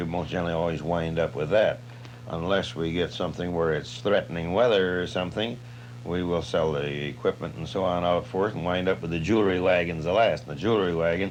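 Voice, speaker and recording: A man with an American accent talks at a fairly quick pace in a relaxed tone, his pitch very deep and low. Noticeable background noise can be heard. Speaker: farm auctioneer. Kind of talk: interview answer, describing his work. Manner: relaxed, conversational, folksy.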